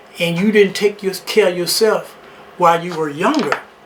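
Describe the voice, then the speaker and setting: Noticeable background noise is present. Over it, a man speaks in a high pitch. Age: 70s. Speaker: talk show host. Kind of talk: casual advice monologue.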